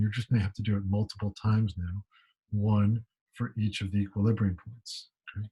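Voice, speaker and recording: A somewhat breathy man's voice, fairly low and dark, mellow in tone, at a fairly quick pace, with a dry, close sound, no echo, and a very clean recording over a silent background. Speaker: math professor. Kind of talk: lecture. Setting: pre-recorded video lecture.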